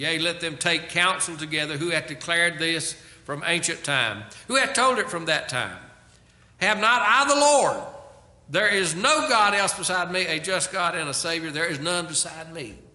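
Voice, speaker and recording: Audible room echo follows a man speaking at a moderate pace with lively intonation. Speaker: pastor. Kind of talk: sermon. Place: church. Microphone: podium.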